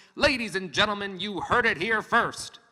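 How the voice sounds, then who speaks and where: A fairly high pitch carries this put-on character voice. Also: moderate pace. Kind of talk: vintage radio announcer.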